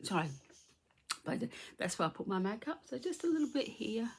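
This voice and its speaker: A woman speaks fairly quickly in a fairly high voice. Her delivery is somewhat breathy. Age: middle-aged. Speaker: beauty vlogger. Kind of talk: makeup tutorial. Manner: casual, chatty.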